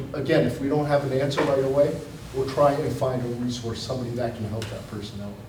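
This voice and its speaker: A man speaks at a fairly quick pace with ordinary pitch variation. Noticeable background noise and audible room echo fill the recording. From Amherst, Massachusetts, US. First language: Chinese. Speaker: police captain. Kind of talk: public forum Q&A. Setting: public forum with audience.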